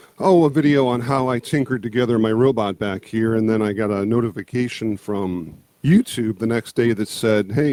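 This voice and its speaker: At a moderate pace, a man speaks in a dark, mellow tone with ordinary pitch variation, the sound dry and close with no echo. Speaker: YouTube creator on movies, music and monsters. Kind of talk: casual interview.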